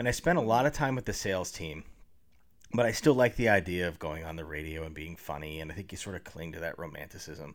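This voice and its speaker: A man talks at a very fast pace with a very deep, low pitch. His intonation is lively, with big swings in loudness. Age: 30s. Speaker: public relations professional and improv comedian. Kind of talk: casual interview chat.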